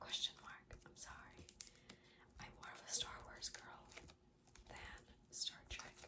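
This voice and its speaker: A woman whispers at a very slow pace. Noticeable background noise runs behind her. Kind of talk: casual talk to camera. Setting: recorded at night, ASMR-style mic. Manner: soft-spoken, quiet.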